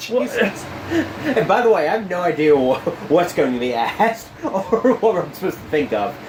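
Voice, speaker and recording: Mumbling at a moderate pace, a man with a high pitch makes very wide pitch swings as noticeable background noise runs underneath. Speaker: wrestling podcast co-host. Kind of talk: casual chat.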